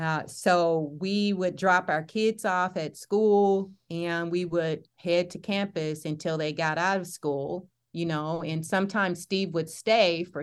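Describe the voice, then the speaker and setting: Over a very clean recording with a silent background, a woman with a slight Southern US accent talks at a very slow pace, her fairly low voice keeping a fairly even intonation. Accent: Southern US, slight twang. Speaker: campus ministry leader. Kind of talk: casual interview chat.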